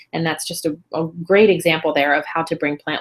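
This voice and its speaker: With a fairly low pitch and ordinary pitch variation, a woman is talking. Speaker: educator hosting a webinar. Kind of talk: webinar presentation. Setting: online video webinar. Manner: fast.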